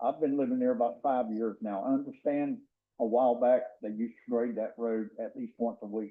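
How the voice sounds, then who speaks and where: With music playing in the background, a man in a Southern US accent speaks fairly quickly at medium pitch, his intonation fairly even. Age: 70s. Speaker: resident speaking at public comment. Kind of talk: public comment at county meeting. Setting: county commission meeting room. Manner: halting, with many fillers.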